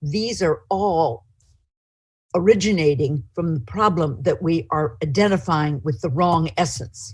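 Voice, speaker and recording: Somewhat breathy and fairly slow, a woman with a very deep, low pitch speaks with very wide pitch swings. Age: 70s. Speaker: author and publisher. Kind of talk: lecture. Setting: video call.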